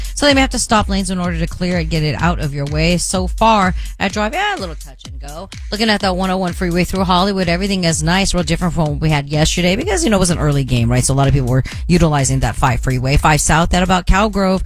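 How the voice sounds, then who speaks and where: Music plays behind a woman who speaks very rapidly. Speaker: traffic reporter. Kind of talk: radio traffic report.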